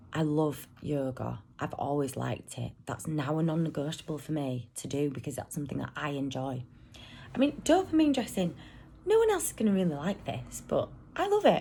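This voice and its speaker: A woman talks at a moderate pace. She has a British accent. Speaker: vlogger, single mum. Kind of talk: casual vlog monologue. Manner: rambling, hesitant with ums; loud at times.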